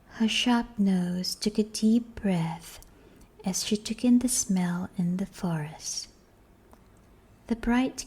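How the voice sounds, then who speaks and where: Soft-spoken delivery at a very slow pace. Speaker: audiobook narrator. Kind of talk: reading aloud.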